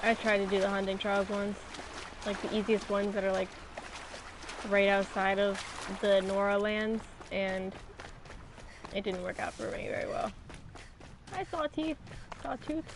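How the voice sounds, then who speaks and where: Noticeable background noise sits behind a woman at medium pitch. She keeps a moderate pace with long, frequent pauses. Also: ordinary pitch variation. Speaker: video game streamer. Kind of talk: live gameplay commentary. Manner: talking quietly.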